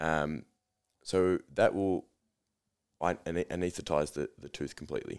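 Speaking at a fairly slow pace with long, frequent pauses, a man has an Australian accent. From Australia, Melbourne area. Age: 20s. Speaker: dentist. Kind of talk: casual interview chat. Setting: studio.

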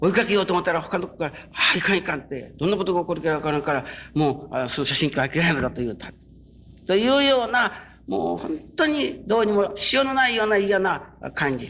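A man's high pitch with very wide swings, at a very fast pace. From Japan, Kyushu (Kurume, Fukuoka). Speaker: religious minister. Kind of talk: sermon. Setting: stage with audience.

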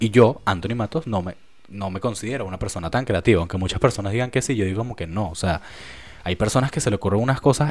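This man's voice sits at a fairly low pitch with ordinary pitch variation. He talks at a very fast pace. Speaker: podcast host. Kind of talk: casual solo monologue. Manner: halting.

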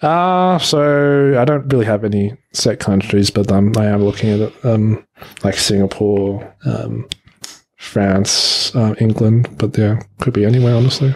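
With an Australian accent, a man speaks at a fairly slow pace and a fairly low pitch. His loudness stays very even, with ordinary pitch variation. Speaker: office worker. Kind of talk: casual chat.

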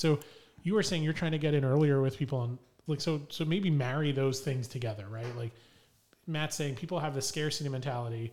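Speaking at a fairly quick pace, a man has a fairly high pitch and ordinary pitch variation. It is an ordinary speaking voice, captured in a very clean recording with a silent background. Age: 30s. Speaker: podcast co-host. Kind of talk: casual chat.

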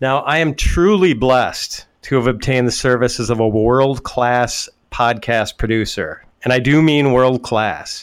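A man with an ordinary speaking voice talks at a fairly slow pace, at a medium pitch, with ordinary pitch variation and very even loudness. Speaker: fantasy football writer and podcast host. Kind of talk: podcast intro and casual chat.

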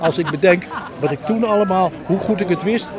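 Over noticeable background noise, a man talks at a high pitch. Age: 80s+. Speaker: retired journalist. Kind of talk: interview reminiscence.

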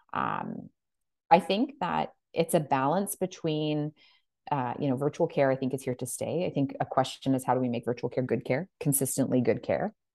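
With a Canadian accent, the speaker uses a dark, mellow tone at a moderate pace with ordinary pitch variation, recorded dry and close with no echo over a quiet background. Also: woman, very deep, low pitch for a woman. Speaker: nurse practitioner. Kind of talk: casual chat.

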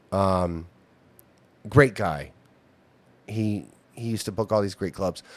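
Pitched fairly low with ordinary variation, a man speaks at a fairly slow pace with long, frequent pauses. The recording is very clean, and the background is silent. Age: 50s. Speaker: veteran comedian. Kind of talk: casual chat.

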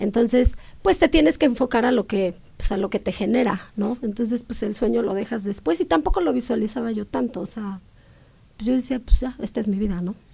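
A woman's fairly high, somewhat breathy voice carries a dark, mellow tone and ordinary pitch variation. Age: 40s. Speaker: hair restoration entrepreneur. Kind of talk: casual interview.

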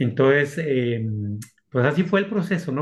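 Here a man talks at a fairly slow pace in a normal speaking voice. His pitch is fairly high. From Mexico, Aguascalientes. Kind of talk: interview testimony.

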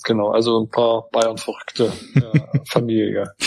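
Against a quiet background, a man talks at a medium pitch. He goes at a fairly slow pace. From Saxony-Anhalt, eastern Germany. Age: 30s. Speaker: member of parliament. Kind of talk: interview.

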